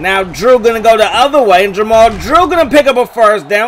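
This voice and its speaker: A man's high, animated voice at a fairly quick pace, with noticeable background noise. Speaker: gaming video creator. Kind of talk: play-by-play gameplay commentary.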